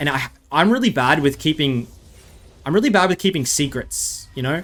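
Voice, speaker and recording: Here a man has a fairly high pitch and an animated tone. He keeps a moderate pace with lively intonation. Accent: Australian. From Australia. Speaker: gaming streamer and YouTuber. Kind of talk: gameplay commentary. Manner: casual, animated.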